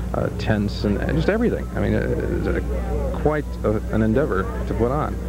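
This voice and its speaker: A man's voice comes through dry and echo-free, with music clearly audible behind it. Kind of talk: interview answer.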